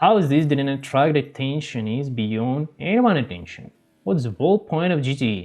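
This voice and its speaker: This male speaker has a non-native accent. His delivery is fairly slow. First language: not English. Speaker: gaming YouTuber. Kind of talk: video game commentary. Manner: halting, self-correcting.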